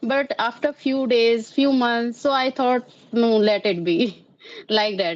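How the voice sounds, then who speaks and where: Her pitch sits fairly high, with ordinary pitch variation and very even loudness. This woman speaks at a very slow pace. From Karnal, Haryana, India. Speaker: English learner. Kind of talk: conversation practice. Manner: halting.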